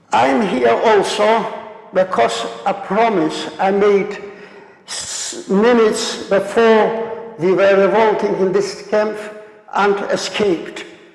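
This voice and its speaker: A man talks at a very slow pace in a high voice with ordinary pitch variation. Noticeable background noise and audible room echo fill the recording. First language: Polish. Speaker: Holocaust survivor speaker. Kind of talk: lecture. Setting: stage with audience. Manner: halting.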